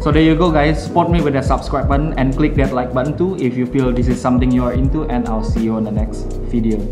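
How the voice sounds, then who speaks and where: Clear music plays in the background as a man speaks at a very fast pace. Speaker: darts player reviewing gear. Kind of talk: product review talk to camera. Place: home room.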